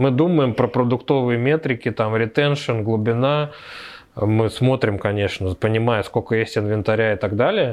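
A man talks in an ordinary speaking voice at medium pitch and a moderate pace. His loudness stays very even, his pitch variation is ordinary, and the background is quiet. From Moscow, Russia. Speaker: tech entrepreneur. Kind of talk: casual interview.

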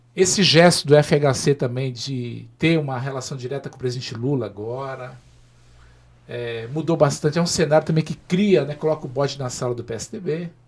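The voice is somewhat breathy and swings widely in loudness. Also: man, fairly high pitch for a man, ordinary pitch variation, moderate pace. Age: 50s. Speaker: former mayor and politician. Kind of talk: interview on a live web show.

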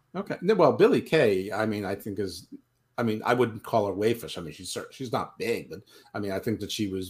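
The voice is somewhat breathy, moving at a moderate pace with ordinary pitch variation. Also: man. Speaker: podcast co-host. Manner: joking, sarcastic.

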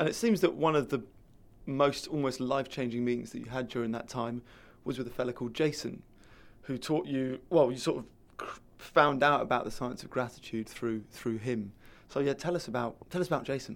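Delivered at a fairly quick pace in a British accent, the speech has ordinary pitch variation over a very clean recording with a silent background. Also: man, medium pitch for a man. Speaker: podcast host. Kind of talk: interview conversation.

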